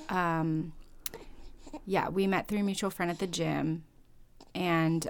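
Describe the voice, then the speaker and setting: At a fairly slow pace, a woman with an American accent speaks in a fairly low pitch and fairly even intonation. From US Midwest (Fort Wayne, Indiana). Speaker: church member. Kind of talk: casual interview.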